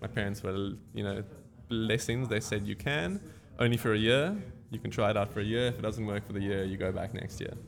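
Over music in the background, a man with a fairly low-pitched voice talks at a fairly quick pace with fairly even intonation. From Cape Town, South Africa. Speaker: surfboard shaper. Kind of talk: casual interview. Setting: surf shop.

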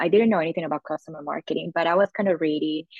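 With fairly even intonation, a woman talks in a fairly low register. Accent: Spanish. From Colombia, Medellin. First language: Spanish. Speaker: customer marketing manager. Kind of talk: casual interview.

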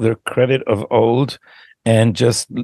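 A man at medium pitch talks with vocal fry and fairly even intonation. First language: Hebrew. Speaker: podcast host. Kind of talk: interview.

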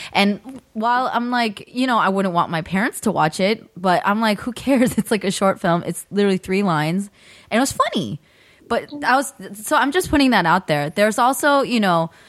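An unremarkable speaking voice with an American accent, lively intonation and a fairly quick pace. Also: woman, medium pitch for a woman. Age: 30s. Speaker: podcast co-host. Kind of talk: casual chat.

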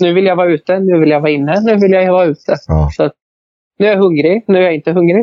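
A man speaks at a very fast pace and a high pitch. His intonation is fairly even and his loudness very even. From Sweden, Hälsingland. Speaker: horse breeder. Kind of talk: interview.

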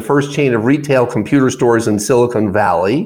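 A man's unremarkable speaking voice at a moderate pace and medium pitch. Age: 60s. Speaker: business founder and author. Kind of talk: radio interview. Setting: studio.

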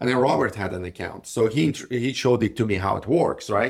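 A man with a non-native accent, moderate pace and ordinary pitch variation. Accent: foreign-accented English. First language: not English. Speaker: podcast co-host, entrepreneur. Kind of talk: casual conversational discussion. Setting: recorded on location at an event. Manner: halting, many fillers and restarts.

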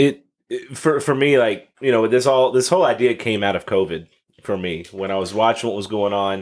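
A man with a plain, everyday voice speaks at medium pitch. His delivery is fairly quick, with lively intonation. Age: 30s. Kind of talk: casual chat.

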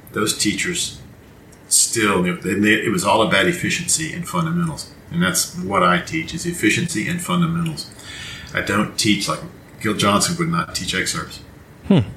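Through audible room echo and noticeable background noise, a man with a fairly low pitch speaks at a moderate pace with very wide pitch swings. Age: 60s. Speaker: trumpet professor. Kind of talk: interview.

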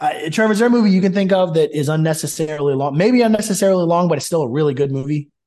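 A man talking at a very fast clip. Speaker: podcast host. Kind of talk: casual chat. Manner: animated.

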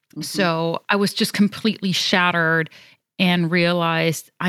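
A woman with a European accent, medium pitch, fairly even intonation and a moderate pace, on a very clean recording with a silent background. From Germany. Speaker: fertility coach. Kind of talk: interview.

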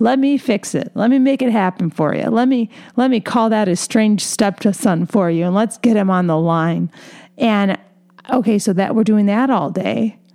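Here is a woman with an unremarkable speaking voice, pitched fairly high. She keeps a moderate pace at very even loudness. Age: 30s. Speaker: podcast host. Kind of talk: solo podcast monologue. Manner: casual, conversational with fillers.

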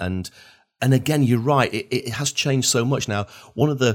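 A man with a Northern English accent. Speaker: podcast host. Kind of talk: interview. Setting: video call.

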